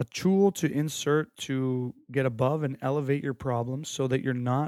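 This is a man with a normal speaking voice, medium in pitch and fairly even in intonation. The sound is dry and close with no echo, on a very clean recording with a silent background. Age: 30s. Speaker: sports mental performance podcaster. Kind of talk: solo podcast monologue. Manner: casual, conversational.

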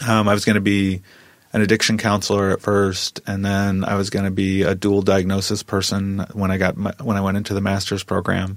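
A man in an American accent talks with a fairly low pitch and flat, monotone intonation. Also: fairly quick pace. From US Midwest, small town. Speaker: assistant professor. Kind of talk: interview. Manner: halting.

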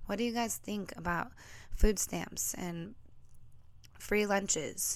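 Recorded very cleanly against a silent background, a woman with an American accent, a plain, everyday voice and a medium pitch speaks at a fairly slow pace. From United States. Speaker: podcast host. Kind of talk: solo monologue. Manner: casual, conversational.

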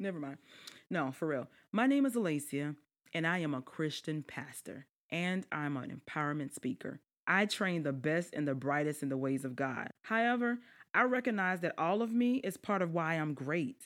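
In a Southern US accent, a woman with a fairly low pitch talks at a moderate pace in an animated, warm tone with very wide pitch swings, on a very clean recording with a silent background. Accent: Southern US, noticeable twang. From South Carolina lowlands. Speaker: podcast host, life strategist and government official. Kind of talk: podcast introduction, casual address to audience. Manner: animated, warm, chatty.

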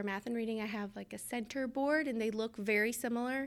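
With a plain, everyday voice, a woman speaks at a fairly high pitch with fairly even intonation on a very clean recording with a silent background. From Georgia, US South. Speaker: kindergarten teacher. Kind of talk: interview.

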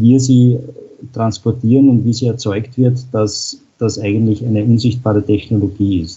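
A man speaks at a fairly slow pace in a medium pitch, somewhat breathy. His intonation is monotone and flat. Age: 40s. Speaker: utility engineer. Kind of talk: interview. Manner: frequent filler sounds.

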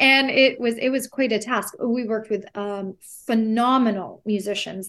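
At a moderate pace, a woman with a fairly high pitch and fairly even intonation talks in an ordinary speaking voice. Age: young. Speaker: opera singer. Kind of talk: interview.

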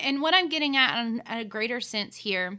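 A woman with a high pitch and an American accent speaks with lively intonation and a bright, sharp tone on a very clean recording with a silent background. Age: 30s. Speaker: choir teacher and podcast host. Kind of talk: solo monologue. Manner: hesitant fillers.

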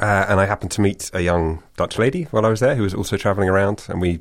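A man's very deep, low voice in a British accent, very fast, with ordinary pitch variation, on a very clean recording with a silent background. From UK. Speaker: author. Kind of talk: interview.

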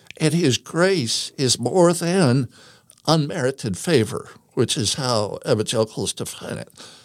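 A man's fairly high voice with vocal fry and lively intonation, at a fairly slow pace, in a very clean recording with a silent background. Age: 60s. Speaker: religion teacher. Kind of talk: casual chat.

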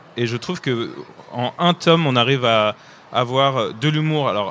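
A fairly slow delivery with ordinary pitch variation. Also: man. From France. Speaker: comic book illustrator. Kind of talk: panel talk for children. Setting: book fair stage with audience. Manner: halting.

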